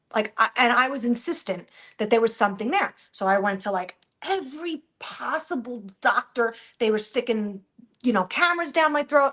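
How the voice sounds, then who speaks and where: A woman speaks in a high pitch with lively intonation and a bright, sharp tone. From New Jersey. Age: 40s. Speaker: social media influencer. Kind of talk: casual chat. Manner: fast, rambling with false starts.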